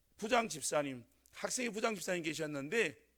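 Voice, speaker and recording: With lively intonation, a man talks in a high pitch. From North Gyeongsang, Korea (Sangju). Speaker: pastor. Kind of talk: sermon. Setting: church. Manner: hesitant, many fillers.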